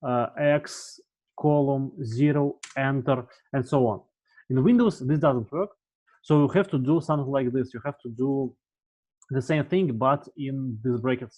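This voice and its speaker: With a Russian accent, a man talks at a fairly slow pace in a fairly high voice, his pitch varying in an ordinary way. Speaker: university lecturer. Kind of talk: tutorial. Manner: halting.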